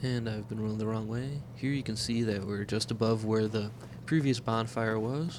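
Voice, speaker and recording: A man with a medium pitch talks at a moderate pace with fairly even intonation, and the room gives an audible echo. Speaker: video game let's player. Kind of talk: gameplay commentary. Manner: casual, conversational.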